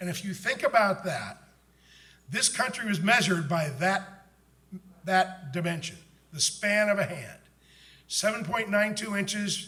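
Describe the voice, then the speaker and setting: A man's high, raised, projected voice carries ordinary pitch variation and audible room echo. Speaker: book author and conference speaker. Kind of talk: conference talk.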